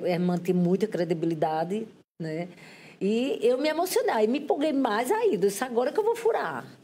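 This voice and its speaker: A woman speaks at a fairly high pitch and a moderate pace. Her pitch swings very widely. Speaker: photojournalist. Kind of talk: interview.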